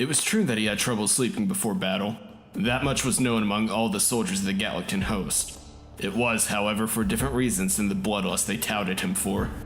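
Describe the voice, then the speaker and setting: Music plays behind a man speaking at a fairly quick pace. His fairly low voice has ordinary pitch variation and very even loudness. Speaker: voice actor. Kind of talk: fantasy story narration.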